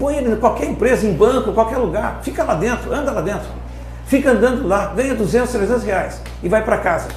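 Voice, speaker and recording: A man talks at a fairly quick pace in a high pitch with ordinary pitch variation. Music plays in the background, and room echo is audible. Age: 60s. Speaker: company founder. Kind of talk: podcast interview. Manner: impassioned.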